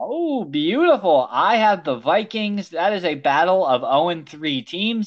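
The delivery comes at a fairly slow pace. There are hardly any pauses. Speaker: podcast host. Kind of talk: casual chat. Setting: outdoors at a park, remote recording.

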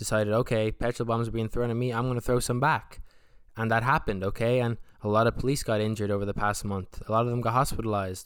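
A man with an Irish accent speaks at a very fast pace and medium pitch. The recording is very clean with a silent background. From Republic of Ireland. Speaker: podcast host. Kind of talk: casual solo monologue. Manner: animated.

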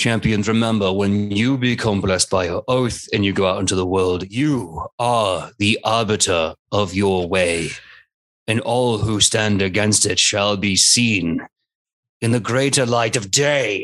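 A man puts on a raspy character voice at a fairly low pitch. He speaks at a fairly slow pace. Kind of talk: flat, declamatory tone. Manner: shouting loudly.

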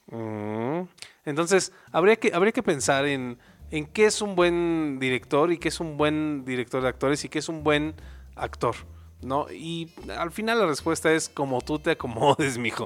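A man's fairly high voice, lively in intonation and animated in tone, at a fairly slow pace, on a very clean recording with a silent background. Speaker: podcast co-host, arts student. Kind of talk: casual comedic chat.

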